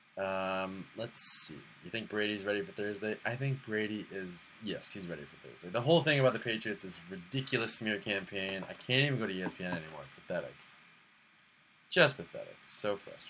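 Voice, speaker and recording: An ordinary speaking voice runs at a fairly quick pace with lively intonation and big swings in loudness. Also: man, fairly low pitch for a man. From Boston. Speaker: live streamer. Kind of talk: casual chat. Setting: live stream.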